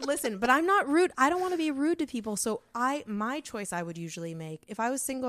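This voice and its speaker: On a very clean recording with a silent background, a woman talks at a fairly quick pace with very wide pitch swings. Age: 30s. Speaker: stand-up comedian. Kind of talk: casual chat. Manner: not loud.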